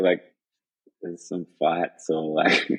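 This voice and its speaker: A man talks with an Australian accent. He keeps a fairly slow pace. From Western Australia. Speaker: professional free surfer. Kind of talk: podcast interview answer. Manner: casual, laid-back.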